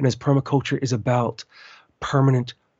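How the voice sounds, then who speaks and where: The man's voice is somewhat breathy. He speaks at a moderate speed. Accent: American. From US, western Maryland. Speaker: permaculture podcast host. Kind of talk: interview.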